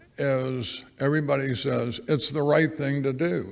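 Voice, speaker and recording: A man with a fairly high pitch speaks amid noticeable background noise and audible room echo. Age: 80s+. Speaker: resident, public commenter. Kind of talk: public comment testimony. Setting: city council chamber.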